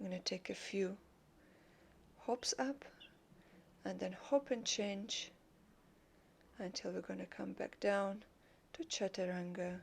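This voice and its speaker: A woman speaks at a fairly slow pace in a calm tone, with a medium pitch, ordinary pitch variation and a non-native accent. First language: not English. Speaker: yoga teacher. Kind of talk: yoga class instruction. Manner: calm, guiding.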